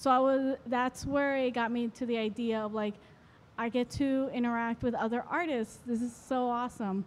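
A woman with an American accent speaks at a moderate pace with a high pitch and fairly even intonation. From Florida. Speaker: photographer. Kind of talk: interview. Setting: art fair. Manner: hesitant, filler-heavy. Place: hall. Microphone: handheld.

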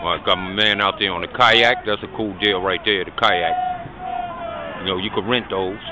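A man's moderate pace comes through a dry sound with no echo, with noticeable background noise underneath. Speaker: amateur vlogger. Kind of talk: casual vlog chat. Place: waterside. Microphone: phone near.

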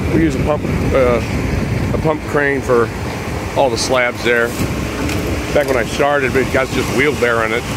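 A man's voice, dry and free of echo, competes with loud noise in the background. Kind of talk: casual vlog commentary. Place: street. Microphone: phone near.

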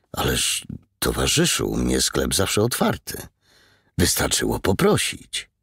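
On a very clean recording with a silent background, a man talks at a fairly slow pace. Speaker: audiobook narrator. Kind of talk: audiobook reading, dramatic narration of a crime novel. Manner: dramatic, tense, suspenseful narration.

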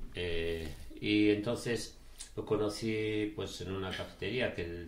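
A man's very deep, low, somewhat breathy voice at a very slow pace, with audible room echo and light background noise. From Galicia, Spain (Ourense province); Galicia, Spain. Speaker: charity ultramarathon runner; interview guest. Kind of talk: casual chat. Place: studio.

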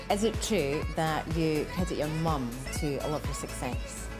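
A woman with a Scottish accent speaks at a moderate pace while music plays in the background. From Scotland. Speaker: TV presenter. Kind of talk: TV feature narration and interview. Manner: natural, confident.

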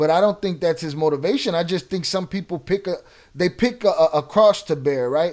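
In a quiet background, a man with an American accent talks at a fairly quick pace, his high pitch varying in an ordinary way. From Chicago north side. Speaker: YouTube livestream host; livestream host. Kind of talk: live stream Q&A.

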